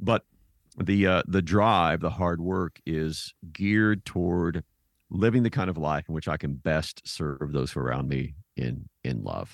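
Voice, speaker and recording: A man with an American accent speaks at a fairly slow pace in a very deep, low pitch with vocal fry and ordinary pitch variation. The sound is dry and close, with no echo. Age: 50s. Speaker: theologian and author. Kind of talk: interview.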